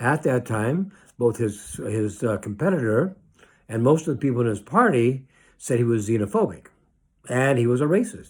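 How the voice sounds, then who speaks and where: Somewhat breathy, a man with an American accent and medium pitch talks at a moderate pace with lively intonation on a very clean recording with a silent background. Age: 60s. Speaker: rabbi. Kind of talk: political commentary monologue. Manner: animated.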